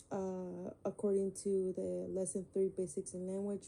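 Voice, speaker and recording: The voice has a Spanish accent, a dark, mellow tone and monotone, flat intonation. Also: woman. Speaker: student. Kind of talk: class presentation. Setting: screen recording. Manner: halting, many fillers.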